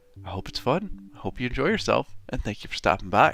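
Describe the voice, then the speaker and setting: Vocal fry marks this man's speech. He talks fairly quickly, his pitch swinging very widely. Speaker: fantasy author and streamer. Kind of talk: live stream chat while drawing. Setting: live stream. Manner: upbeat, chatty.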